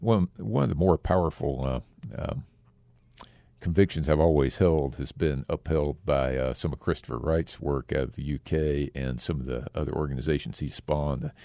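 With an American accent, a man speaks in a very deep, low voice with ordinary pitch variation. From Texas. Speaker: community foundation leader. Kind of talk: radio interview.

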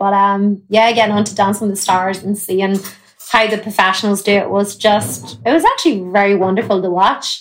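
A woman with an Irish accent speaks at a moderate pace on a very clean recording with a silent background. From Ireland. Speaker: country singer. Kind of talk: interview chat.

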